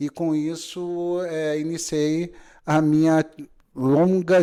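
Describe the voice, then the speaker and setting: A man with a Rio de Janeiro accent has a fairly high pitch and a dark, mellow tone. The recording is very clean, with a silent background. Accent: Rio de Janeiro (carioca) accent, noticeable. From Brazil, Rio de Janeiro city. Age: 40s. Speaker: notary. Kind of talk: podcast interview. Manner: hesitant, many fillers.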